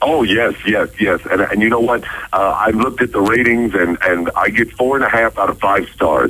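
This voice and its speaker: With an American accent, a man talks at a moderate pace and medium pitch in an unremarkable speaking voice, his loudness very even and his pitch variation ordinary. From United States, Ohio. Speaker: radio voice-over announcer and author. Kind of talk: radio phone interview answer.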